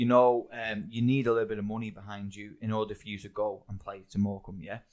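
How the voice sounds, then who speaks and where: A man speaks at a fairly quick pace with an English accent. His medium-pitched voice stays monotone, with flat intonation. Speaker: podcast host, football coach. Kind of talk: casual chat. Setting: studio.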